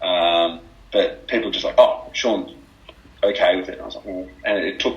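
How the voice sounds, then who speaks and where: Over noticeable background noise, a man with an Australian accent talks at a moderate pace, with big swings in loudness. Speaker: former basketball player. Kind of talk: podcast interview.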